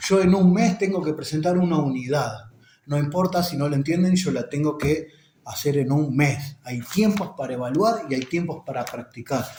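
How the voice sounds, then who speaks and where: Audible room echo around a man's fairly high voice, with ordinary pitch variation at a moderate pace. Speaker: teacher explaining an education text. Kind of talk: lecture.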